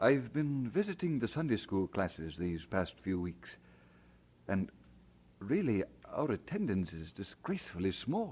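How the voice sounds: Putting on a character voice, a man speaks fairly slowly at a fairly low pitch with big pitch swings, a slightly mellow tone and a slightly husky edge.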